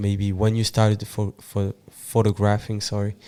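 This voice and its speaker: In a French accent, a man speaks fairly slowly with a fairly low pitch and a dark, mellow tone. The recording is very clean, with a silent background. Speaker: podcast host. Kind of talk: interview. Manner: halting.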